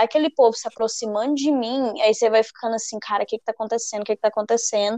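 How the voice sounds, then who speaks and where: A woman speaks in a fairly high pitch, in a normal speaking voice. The sound is dry and close, with no echo. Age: 20s. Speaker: podcast co-host, artist. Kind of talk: casual chat.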